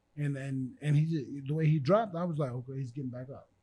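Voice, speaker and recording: A man with an American accent and a dark, mellow tone speaks at a fairly quick pace in a fairly high pitch with ordinary pitch variation. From US Midwest (Fort Dodge, Iowa). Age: 40s. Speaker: former boxer. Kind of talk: casual chat. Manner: animated.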